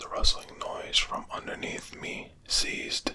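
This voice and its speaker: Very slow whispering from a man amid noticeable background noise. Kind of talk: sleep story. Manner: whispered.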